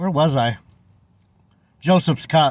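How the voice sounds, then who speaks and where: At a moderate pace, a man speaks in a fairly high pitch. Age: 60s. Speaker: religious vlogger. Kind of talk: casual Bible commentary monologue. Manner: halting, many fillers and repeats.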